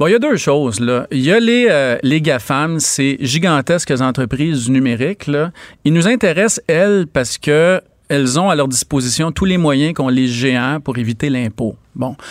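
Speaking at a fairly slow pace, a man with a fairly high pitch and an unremarkable speaking voice keeps a very even loudness while his intonation stays lively. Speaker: economics columnist and professor. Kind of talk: radio interview.

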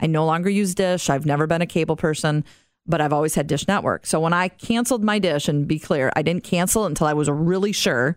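A woman's fairly low voice at a very fast pace, with ordinary pitch variation and very even loudness. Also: very clean recording, silent background. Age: 50s. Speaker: podcast host and marketing executive. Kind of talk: casual chat.

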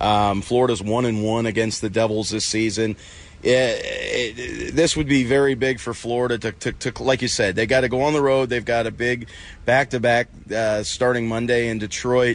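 With noticeable background noise present, a man keeps a moderate pace and fairly even intonation. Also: medium pitch for a man. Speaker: hockey journalist. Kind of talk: casual analytical chat about hockey. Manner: filler-heavy, repeats words, loose conversational flow.

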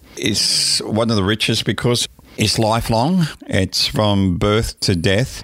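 An Australian-accented man speaks with ordinary pitch variation in a very clean recording with a silent background. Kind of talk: interview.

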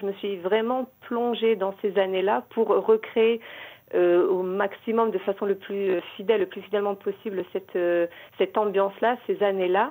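A woman with a dark, mellow tone talks at medium pitch and a fairly slow pace. Her intonation is fairly even. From Morocco. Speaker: novelist and librarian. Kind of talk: radio interview.

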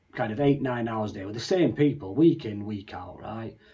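A man with a Yorkshire accent. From Leeds, northern England. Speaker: customer operations trainer. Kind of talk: casual interview.

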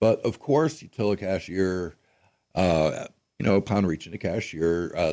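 On a very clean recording with a silent background, a man with an American accent and a fairly low pitch speaks at a moderate pace in a normal speaking voice. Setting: radio studio. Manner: casual, folksy with many fillers.

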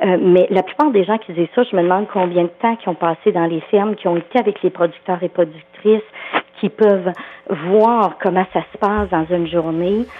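Over noticeable background noise, a woman in a Quebec accent speaks at a medium pitch with ordinary pitch variation. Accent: Québécois French. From Quebec, farming background. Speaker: agricultural psychologist. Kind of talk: phone interview.

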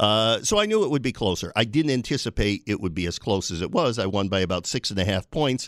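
A normal speaking voice from a man with an American accent, fairly quick in pace, on a very clean recording with a silent background. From New York State, Binghamton area. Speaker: state legislator. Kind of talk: radio interview. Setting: radio studio.

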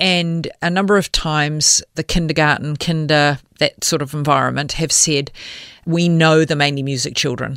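Speaking at a moderate pace with a New Zealand accent, a woman uses fairly even intonation and a very deep, low pitch. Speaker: charity CEO. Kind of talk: interview. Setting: studio.

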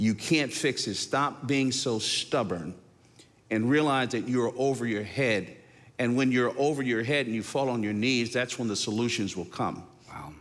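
A man speaks in a plain, everyday voice at a medium pitch. His pitch variation is ordinary, and his pace is moderate. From northern New Jersey. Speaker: pastor. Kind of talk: interview.

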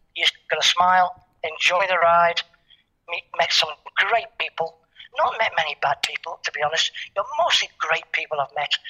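With ordinary pitch variation, this man's voice sits at a high pitch. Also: moderate pace. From Liverpool, England. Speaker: football coach. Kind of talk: radio interview.

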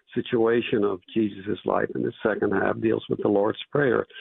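Here a man with an unremarkable speaking voice talks at a moderate pace, his pitch varying in an ordinary way. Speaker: author and professor. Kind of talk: interview.

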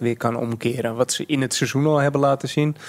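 A man talks at a fairly quick pace, recorded dry and close with no echo. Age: 30s. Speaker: professional cyclist. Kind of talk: casual chat. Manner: halting.

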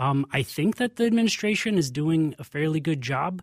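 The recording is very clean with a silent background and a dry, close sound with no echo. A man with a fairly high pitch speaks at a moderate pace, somewhat breathy. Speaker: cannabis policy lobbyist. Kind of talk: radio interview. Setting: radio studio. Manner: calm.

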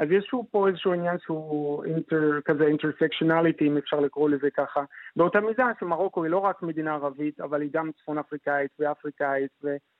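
A man's normal speaking voice, fairly high in pitch with ordinary pitch variation, moving at a fairly quick pace with hardly any pauses. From Morocco, Fez. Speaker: doctoral student in anthropology. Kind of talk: radio interview.

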